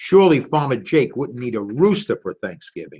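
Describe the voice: Talking at a moderate pace and medium pitch, a man makes big pitch swings with a slightly husky edge.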